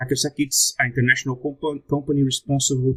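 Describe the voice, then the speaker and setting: A man with a Brazilian Portuguese accent talks at a medium pitch, sounding somewhat breathy. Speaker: security researcher. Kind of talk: conference talk. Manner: halting.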